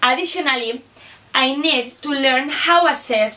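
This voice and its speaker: Over noticeable background noise, a woman uses a raised, projected voice with a high pitch. She talks at a fairly slow pace with ordinary pitch variation. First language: Basque or Spanish. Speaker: student teacher. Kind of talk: scripted reflection presentation.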